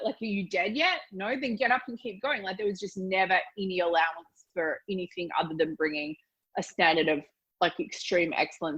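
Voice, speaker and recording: A woman with an Australian accent talks at a fairly quick pace. Her medium pitch carries lively intonation. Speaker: business mentor. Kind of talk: interview answer.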